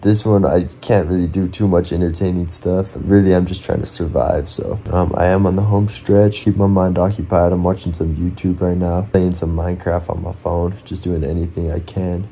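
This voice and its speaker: A man with a very deep, low pitch speaks at a moderate pace in a weary tone, with hardly any pauses. His intonation is flat and monotone, over light background noise. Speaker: vlogger doing an endurance challenge. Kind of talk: casual vlog chat. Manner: weary, slow, sleep-deprived voice. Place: home room. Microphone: phone near.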